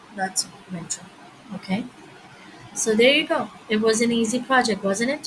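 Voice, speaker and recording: Against noticeable background noise, a soft-spoken woman with a fairly high pitch talks with long, frequent pauses. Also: ordinary pitch variation, moderate pace. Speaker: coding tutorial youtuber. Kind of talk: tutorial.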